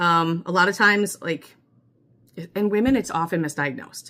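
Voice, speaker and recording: A woman's bright, sharp tone at a fairly low pitch, with an American accent. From US Midwest. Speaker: mental health vlogger. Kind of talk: personal vlog monologue. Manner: fast; chatty with many fillers.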